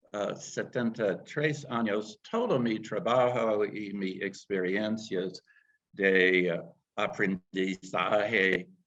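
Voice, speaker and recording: The voice is a man's, pitched fairly low. His words come out at a very slow speed. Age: 70s. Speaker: foreign language student. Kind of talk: panel discussion. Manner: halting.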